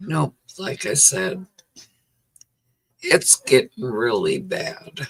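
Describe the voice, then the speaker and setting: A very slow pace broken by long, frequent pauses. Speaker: livestreamer sharing cancer journey. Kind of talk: casual chat. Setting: livestream.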